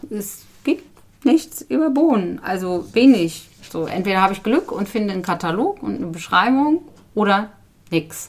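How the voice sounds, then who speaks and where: A woman's somewhat breathy, medium-pitched voice at a moderate pace, with very wide pitch swings. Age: 50s. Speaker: bean seed conservationist. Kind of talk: interview. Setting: at the guest's home.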